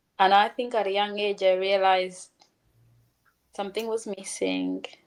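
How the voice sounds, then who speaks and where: A woman speaks at medium pitch with a Ugandan accent. Her pace is fairly slow. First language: Luganda. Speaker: author and speaker. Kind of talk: interview.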